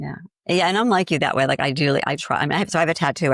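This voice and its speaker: With a slight Boston accent, a woman speaks in lively intonation, captured dry and close with no echo. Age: 60s. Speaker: grief coach. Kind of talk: interview conversation.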